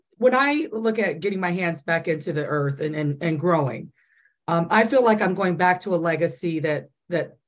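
With an American accent and lively intonation, a woman speaks at a moderate pace in a fairly low pitch against a quiet background. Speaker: audience participant; panelist. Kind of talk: casual chat. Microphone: video call.

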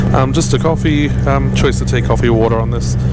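Music plays in the background as a man talks at a fairly quick pace, the sound dry with no echo. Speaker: travel vlogger. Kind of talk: casual vlog chat. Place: plane. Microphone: handheld.

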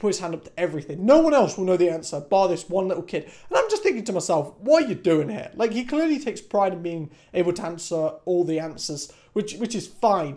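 A man with a dark, mellow tone talks at a very fast clip, hardly pausing, over a quiet background. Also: lively intonation. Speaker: university student vlogger. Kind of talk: casual vlog chat. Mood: annoyed, ranting. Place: home room. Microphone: camera far.

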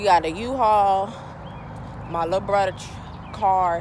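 Fairly even intonation marks this woman's speech, recorded dry with no echo and noticeable background noise. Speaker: vlogger. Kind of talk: casual vlog chat. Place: street. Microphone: phone near.

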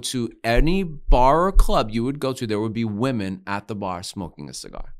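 A man with an American accent speaks in an animated tone with lively intonation at a fairly quick pace over a quiet background. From Pennsylvania (Allentown); Pennsylvania. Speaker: cigar company founder; podcast guest. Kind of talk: casual interview. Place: studio. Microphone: studio mic.

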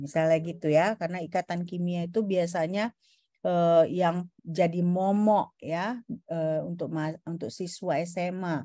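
Against a quiet background, a woman speaks fairly slowly with a fairly low pitch, a dark, mellow tone and fairly even intonation, in a dry sound with no echo. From Indonesia. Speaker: university lecturer. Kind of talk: lecture. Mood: relaxed, informal teaching tone. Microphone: video call.

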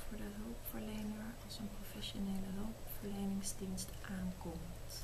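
Soft-spoken and at a fairly slow pace, a woman talks against noticeable background noise. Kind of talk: soft reading aloud of quiz questions. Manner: soft-spoken, quiet ASMR reading voice. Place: home room. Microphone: phone near.

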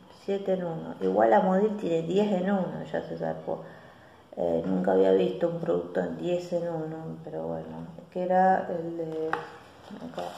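A woman talks at a fairly slow pace with a Rioplatense accent. Light background noise and audible room echo surround her voice. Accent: Argentine Rioplatense Spanish. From Argentina. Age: 40s. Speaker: beauty vlogger. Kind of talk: casual vlog monologue. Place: home room. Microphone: phone near.

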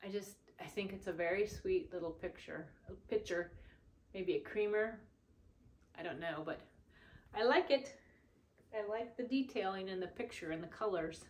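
A woman speaks at a moderate pace with lively intonation, leaving long, frequent pauses. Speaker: thrift haul vlogger. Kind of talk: casual vlog chat. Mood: cheerful, warm. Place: home room. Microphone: camera far.

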